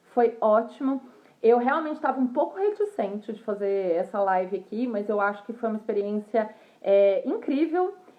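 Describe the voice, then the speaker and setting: A woman talks in a plain, everyday voice, pitched fairly high, at a moderate pace and with lively intonation. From Brazil. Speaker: fashion professional. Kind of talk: casual livestream talk. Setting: livestream.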